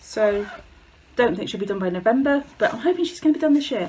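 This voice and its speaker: A woman with an English accent talks at a very fast pace with lively intonation. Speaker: craft video creator. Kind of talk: casual chat. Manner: halting.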